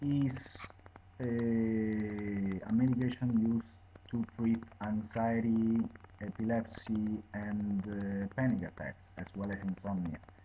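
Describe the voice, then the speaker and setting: Speaking very slowly with long, frequent pauses, a man with an Italian accent keeps to a medium pitch. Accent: Italian accent, non-native English. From Italy. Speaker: video blogger reviewing medication. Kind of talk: informal explanatory monologue. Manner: halting, many fillers.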